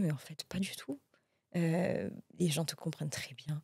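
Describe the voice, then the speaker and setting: The recording is very clean with a silent background. A woman speaks at a moderate pace in a fairly low pitch with a dark, mellow tone. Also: dry, close sound with no echo. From Mauritius. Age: 30s. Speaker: entrepreneur. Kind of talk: interview. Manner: hesitant, many fillers.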